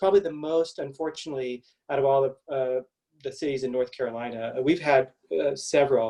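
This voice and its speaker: A speaker with a Kentucky accent talks at a very fast pace in a dark, mellow tone, with ordinary pitch variation. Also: man, fairly high pitch for a man. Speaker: pediatric allergist and immunologist. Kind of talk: medical webinar presentation. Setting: virtual event.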